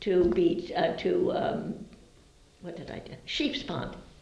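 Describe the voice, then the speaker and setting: Over noticeable background noise, a woman with an American accent speaks at a very slow pace. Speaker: longtime local resident, oral history interviewee. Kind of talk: oral history interview answer, recalling childhood memories. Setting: indoor interview recording. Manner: conversational, reflective, hesitant with fillers.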